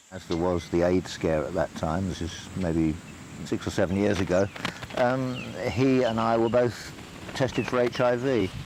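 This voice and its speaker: A man with an English accent speaks at a moderate pace in a fairly low pitch, with ordinary pitch variation and noticeable background noise. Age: 60s. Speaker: documentary interviewee. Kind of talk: documentary interview. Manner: hesitant.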